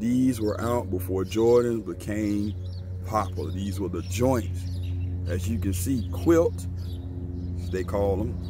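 Over noticeable background noise, a man speaks with a very deep, low pitch in a dry sound with no echo. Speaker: sneaker reviewer. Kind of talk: casual review vlog chat. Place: street. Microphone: phone near.

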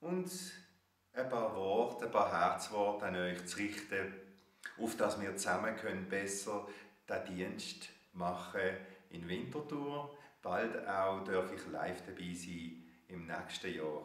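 In a room with audible echo, a man with a fairly low voice speaks very slowly, with ordinary pitch variation and long, frequent pauses. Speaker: spiritual teacher, author. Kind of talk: guided meditation. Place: home room. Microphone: webcam.

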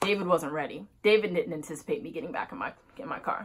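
Speaking at a fairly quick pace, a woman delivers her words. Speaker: vlogger. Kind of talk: casual storytime vlog. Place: home room. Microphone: phone near.

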